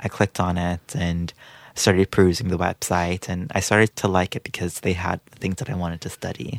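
A man with a very deep, low pitch speaks at a fairly quick pace with ordinary pitch variation. The sound is dry and close with no echo, on a very clean recording with a silent background. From Guyana (born Trinidad and Tobago). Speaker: immigrant storyteller, community outreach worker. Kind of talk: personal life story interview. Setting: studio.

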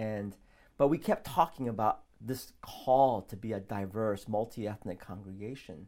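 An unremarkable speaking voice from a man with an American accent, medium in pitch with ordinary pitch variation, moderate in pace with big swings in loudness, on a very clean recording with a silent background. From South Korea, raised in US from age six. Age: 40s. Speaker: pastor. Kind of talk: casual interview.

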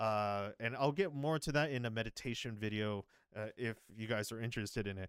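Speaking at a fairly quick pace with an American accent, the voice shows ordinary pitch variation on a very clean recording with a silent background. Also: man, medium pitch for a man. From United States. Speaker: investing podcast host. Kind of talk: solo monologue commentary. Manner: halting, many repetitions and fillers.

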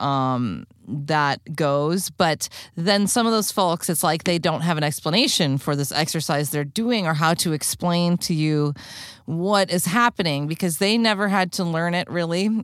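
Over a silent background in a very clean recording, a woman speaks at a fairly low pitch with ordinary pitch variation. Hers is a plain, everyday voice at a fairly slow pace. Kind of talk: interview.

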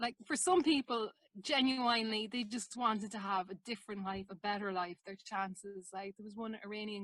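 With hardly any pauses, a woman talks fairly quickly at a medium pitch and fairly even intonation, her loudness swinging widely in a dry, close sound with no echo. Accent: Irish. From Ireland. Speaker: documentary maker. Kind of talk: interview.

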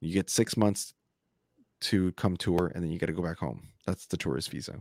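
Speaking at a moderate pace with vocal fry, a man with a very deep, low voice and ordinary pitch variation is heard in a dry, close sound with no echo on a very clean recording over a silent background. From Colombia, Bogotá; raised in small-town Nebraska from elementary school. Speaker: podcast host, author and stand-up comedian. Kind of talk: casual interview.

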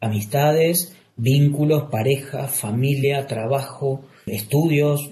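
Here a man speaks very slowly with hardly any pauses, in a fairly high pitch and fairly even intonation. His tone is dark and mellow and somewhat breathy. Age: 40s. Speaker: clinical psychologist. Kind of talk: interview. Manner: halting, with repetitions.

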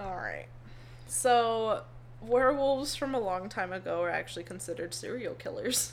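A woman at a moderate pace, with audible room echo around her. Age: 20s. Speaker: podcast co-host. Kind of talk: casual chat.

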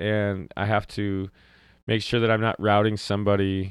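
In an American accent, a man speaks with a fairly low pitch, the sound dry and close with no echo on a very clean recording with a silent background. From Wisconsin. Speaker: singer-songwriter. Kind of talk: casual interview. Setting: home basement.

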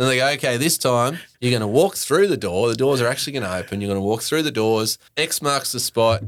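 Talking fairly quickly and hardly pausing, a man with a medium-pitched voice and an Australian accent uses lively intonation. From Queensland, Australia (Brisbane). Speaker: brewery founder and head brewer. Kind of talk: casual chat.

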